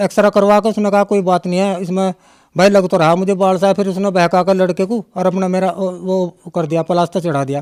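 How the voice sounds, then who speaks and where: There's a male voice here. The audio has no echo, with a dry, close sound. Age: 60s. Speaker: devotee giving testimony. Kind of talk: testimony interview. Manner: halting, with fillers.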